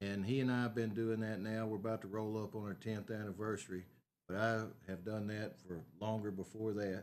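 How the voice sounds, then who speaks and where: With a Texan accent, a man speaks at a fairly quick pace in a fairly low pitch with fairly even intonation. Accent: Texan Southern American. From Northeast Texas. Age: 60s. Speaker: city council candidate and aerial applicator. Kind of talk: interview. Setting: at home.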